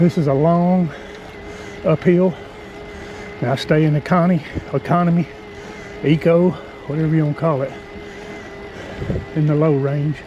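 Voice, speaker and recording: Noticeable background noise sits behind a man speaking. His pitch is fairly high and his intonation is monotone and flat. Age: 60s. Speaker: vlogger, mountain biker. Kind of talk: casual vlog narration while riding. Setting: outdoors on a mountain bike trail. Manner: breathy, panting between phrases.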